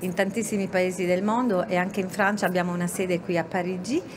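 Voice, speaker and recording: A woman with an Italian accent at medium pitch, fairly quick, with fairly even intonation and noticeable background noise. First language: Italian (speaking French). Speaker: company manager. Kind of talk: interview. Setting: radio set at a trade fair.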